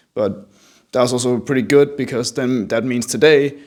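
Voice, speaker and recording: With a slight European accent, a man speaks at a medium pitch and a moderate pace. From Denmark. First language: Danish. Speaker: artist, small video creator. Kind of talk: casual vlog narration over drawing.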